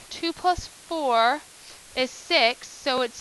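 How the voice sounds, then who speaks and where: A woman's raised, projected voice with ordinary pitch variation. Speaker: math teacher. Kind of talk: classroom lesson explanation.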